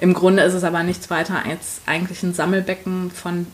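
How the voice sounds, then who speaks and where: With noticeable noise behind her, a woman talks in a medium pitch. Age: 30s. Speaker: HR professional and coach. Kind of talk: interview.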